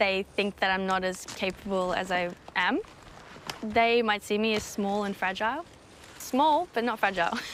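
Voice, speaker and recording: A woman with an Australian accent speaks over noticeable background noise. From Australia (born in Sweden, moved at four). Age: 20s. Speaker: wilderness guide, reality show contestant. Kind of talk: interview confessional.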